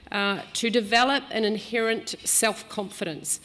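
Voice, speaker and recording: A woman with a New Zealand accent, fairly high in pitch and fairly even in intonation. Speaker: business executive. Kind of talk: speech. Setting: stage with audience.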